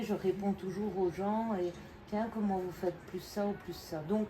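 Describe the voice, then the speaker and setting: A woman with a medium-pitched voice and ordinary pitch variation speaks at a very slow pace amid noticeable background noise. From Belgium. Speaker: acrylic pouring artist and YouTuber. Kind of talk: live demonstration to visitors. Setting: open day in her studio.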